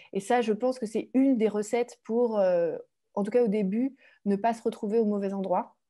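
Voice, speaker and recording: A woman is talking at a moderate pace. Nothing can be heard behind her in the quiet background. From France. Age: 30s. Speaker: author and former commodities trader. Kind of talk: webinar talk. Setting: online webinar. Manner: hesitant, many fillers.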